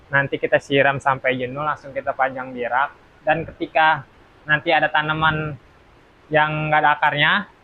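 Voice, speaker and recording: A man with a fairly high voice speaks at a moderate pace in a flat monotone. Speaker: plant nursery owner. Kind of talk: tutorial. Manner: soft-spoken; casual. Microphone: quiet voice.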